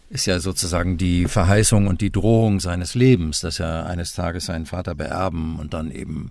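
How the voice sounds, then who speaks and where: A man at a very deep, low pitch and moderate pace, with noticeable background noise. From Westphalia, Germany. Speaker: voice actor. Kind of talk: interview. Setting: remote call.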